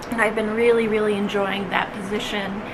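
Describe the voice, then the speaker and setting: A woman with an American accent and a fairly high pitch, plus noticeable background noise and audible room echo. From Minnesota. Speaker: cross-stitch vlogger and pattern designer. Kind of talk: casual vlog chat. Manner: frequent fillers, um and uh.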